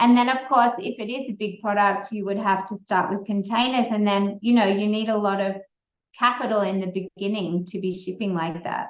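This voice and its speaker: With an Australian accent, a woman talks at a fairly quick pace and with fairly even intonation. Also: medium pitch for a woman. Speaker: entrepreneur, company founder. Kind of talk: Q&A answers at a speaker session. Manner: casual, with hesitations.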